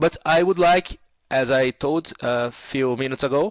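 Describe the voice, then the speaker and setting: At a fairly slow pace, someone speaks in a Brazilian Portuguese accent with ordinary pitch variation, the sound dry and close with no echo. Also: man. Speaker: 3D software tutor. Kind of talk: tutorial. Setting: screen recording. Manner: halting, many fillers.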